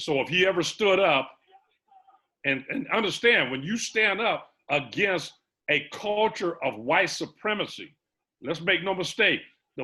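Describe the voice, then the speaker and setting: The tone is bright and sharp, with lively intonation at a fairly slow pace. The recording is very clean, with a silent background. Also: man. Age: 60s. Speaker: retired police officer. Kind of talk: panel discussion. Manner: animated.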